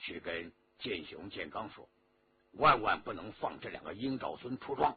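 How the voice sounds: A man's put-on character voice, low-pitched with a husky, rough edge, lively intonation and a moderate pace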